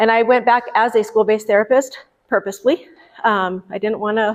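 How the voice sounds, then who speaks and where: A woman with an American accent speaks at a fairly quick pace and a medium pitch. Her intonation is fairly even, and the background is quiet. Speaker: mental health clinical director. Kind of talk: public presentation. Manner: fast.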